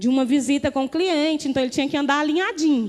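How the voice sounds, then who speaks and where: A woman talks at a fairly quick clip in a high, animated voice with ordinary pitch variation. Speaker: pastor. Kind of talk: testimony.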